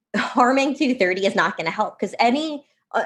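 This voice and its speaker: Animated in tone, a woman speaks at a fairly quick pace with lively intonation. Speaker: think tank policy fellow. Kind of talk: podcast interview. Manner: fast.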